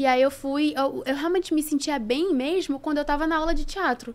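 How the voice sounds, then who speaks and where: This woman speaks with a Pará accent and ordinary pitch variation. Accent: northern Brazilian (Pará). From Belém, Pará, northern Brazil; Pará, Brazil. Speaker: actress and dancer; actress. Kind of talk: casual chat. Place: studio. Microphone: studio mic.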